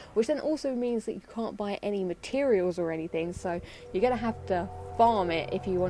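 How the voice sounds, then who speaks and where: A woman's lively intonation at a moderate pace, with music in the background. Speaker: gaming YouTuber. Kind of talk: video game commentary. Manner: casual.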